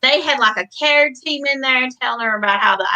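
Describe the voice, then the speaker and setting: This woman has an ordinary amount of pitch variation. She speaks with a Southern US accent. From Middle Tennessee. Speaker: writer and mother. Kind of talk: casual chat.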